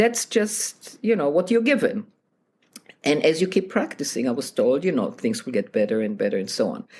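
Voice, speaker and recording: Speaking at a moderate pace with a non-native accent, a woman with a medium pitch and vocal fry moves through very wide pitch swings. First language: not English. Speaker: piano teacher and author. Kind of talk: interview.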